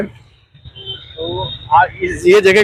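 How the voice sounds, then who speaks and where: A man's high-pitched voice in a monotone, flat intonation, with noticeable background noise. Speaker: ground reporter. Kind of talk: street interview host talk. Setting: outdoors.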